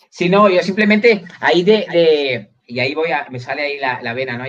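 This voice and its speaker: A man talks against noticeable background noise. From Catalonia, Spain. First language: Catalan (speaking Spanish). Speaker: university lecturer. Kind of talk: live video interview.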